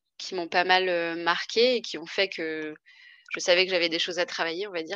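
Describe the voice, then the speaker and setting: At a moderate pace, a woman speaks with a fairly low pitch and a bright, sharp tone against a quiet background. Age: 20s. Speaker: wine and spirits trade employee. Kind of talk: interview, personal testimony.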